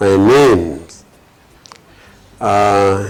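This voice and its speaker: A man's fairly low voice with ordinary pitch variation, against noticeable background noise. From Cameroon, North West region. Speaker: politician and community developer. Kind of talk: interview testimony. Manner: hesitant with many fillers.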